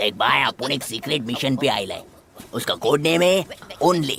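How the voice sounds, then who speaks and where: At a moderate pace, someone performs a put-on character voice with a low-to-middle pitch. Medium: fan dub. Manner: chatty, dramatic.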